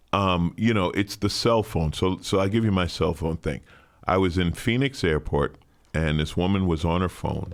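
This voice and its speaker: At a moderate pace, a man with a very deep, low pitch speaks with ordinary pitch variation and very even loudness. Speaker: comedian and podcast host. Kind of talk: casual chat.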